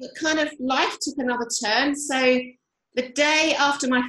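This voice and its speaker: The voice belongs to a woman and sits high in pitch. She keeps a moderate pace. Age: 50s. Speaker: yoga teacher. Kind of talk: casual chat.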